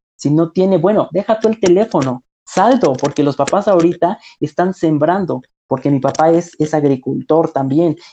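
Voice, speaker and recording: This man has a high-pitched voice with a dark, mellow tone, ordinary pitch variation, very even loudness and a moderate pace, recorded with a dry, close sound and no echo. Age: 20s. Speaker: secondary school teacher. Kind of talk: casual interview.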